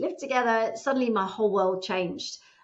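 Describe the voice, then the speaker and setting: With a British accent, a woman speaks at a fairly high pitch with ordinary pitch variation. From England. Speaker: divorce coach. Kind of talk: interview.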